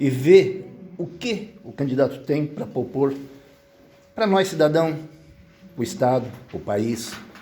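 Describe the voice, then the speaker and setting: Slowish in pace, a man talks at a fairly high pitch with lively intonation in a room with audible echo. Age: 70s. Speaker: social project volunteer. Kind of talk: community meeting remarks.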